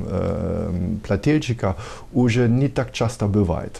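In a German accent, a man speaks very slowly with a dark, mellow tone, a medium pitch and ordinary pitch variation. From Germany. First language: German (speaking Russian). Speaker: tax consultant, company director. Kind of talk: TV interview. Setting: TV studio. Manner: halting, many hesitations. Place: office.

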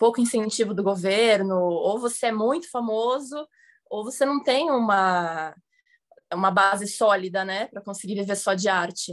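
A woman speaks in a plain, everyday voice at medium pitch, with ordinary pitch variation. Her pace is moderate, and the background is quiet. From Santos, São Paulo coast, Brazil; São Paulo, Brazil. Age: 20s. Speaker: actress and filmmaker, art dealer; actress. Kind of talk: interview. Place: home room. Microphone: video call.

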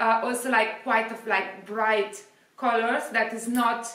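A woman with an Italian accent speaks fairly slowly at a fairly high pitch in a flat, monotone way, with audible room echo. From Italy. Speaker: fashion youtuber; fashion vlogger. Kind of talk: product review. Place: home room. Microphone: camera far.

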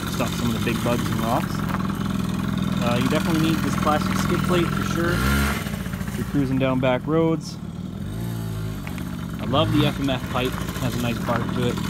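Dry with no echo, the speech moves at a moderate pace with long, frequent pauses over loud background noise. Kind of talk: casual vlog walkaround commentary. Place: garden. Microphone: phone near.

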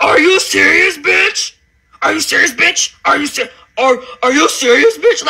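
Putting on a raspy character voice at an extremely high pitch, a man speaks at a fairly slow pace. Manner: screaming, aggressive.

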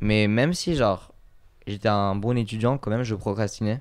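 A medium-pitched man at a fairly slow pace, with a quiet background. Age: 20s. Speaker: podcast guest. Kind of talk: casual chat. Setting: recorded at his home. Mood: calm, reflective. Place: home room. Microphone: handheld.

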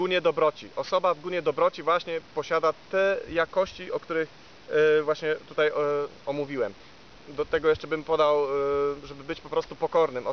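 The man's voice sounds dry with no echo, over light background noise. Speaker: spiritual teacher. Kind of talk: spiritual talk, reading with comments. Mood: calm, measured, hesitant fillers. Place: forest.

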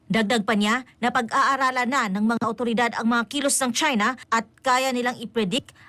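A woman speaks in a high pitch with a bright, sharp tone and fairly even intonation. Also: hardly any pauses, very even loudness. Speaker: news reporter. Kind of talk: news report.

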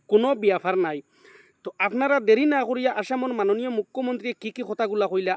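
The man's voice has lively intonation and a dry, close sound with no echo. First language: Sylheti Bengali (speaking Bengali). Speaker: YouTuber. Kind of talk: vlog commentary.

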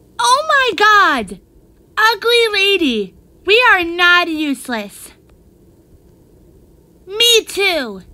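Using a put-on character voice, a woman speaks at a very slow pace with extremely high pitch, very wide pitch swings and long, frequent pauses. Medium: voice reel. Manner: upbeat, excited.

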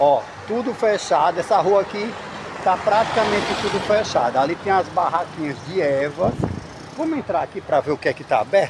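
Noticeable background noise fills the recording. Through it, a man speaks at a moderate speed. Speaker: travel vlogger. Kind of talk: casual vlog chat. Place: market. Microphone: phone near.

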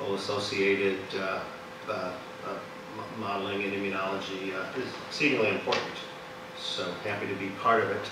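Noticeable background noise and audible room echo fill the clip. A man talks at a fairly quick pace. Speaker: speaker. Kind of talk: lecture. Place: hall.

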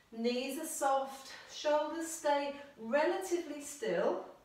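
A woman's voice with audible room echo. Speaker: exercise instructor. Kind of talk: exercise class instruction. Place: home room. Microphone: camera far.

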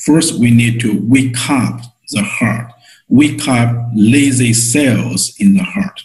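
A man talks at a very slow pace with ordinary pitch variation. The background is quiet. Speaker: teacher of a healing method. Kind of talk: online lecture and guided exercise.

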